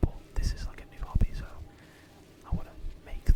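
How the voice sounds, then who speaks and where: The speaker whispers at a fairly quick pace. Noticeable background noise can be heard. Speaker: gaming video creator. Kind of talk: whispered gameplay commentary. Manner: whispering; soft-spoken.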